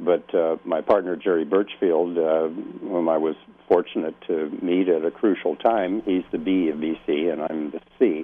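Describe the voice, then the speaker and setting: Very deep and low, a man's voice moves at a fairly slow pace with hardly any pauses. His intonation stays fairly even. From US Midwest, Iowa. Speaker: art gallery owner and curator. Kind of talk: radio interview. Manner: halting, many fillers.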